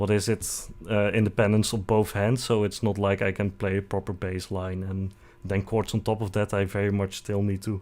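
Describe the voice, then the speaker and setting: In a very clean recording with a silent background, a man with a Dutch accent speaks at a fairly low pitch and a moderate pace, in a monotone, flat intonation. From Netherlands. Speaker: vtuber streamer. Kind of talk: casual live stream self-introduction.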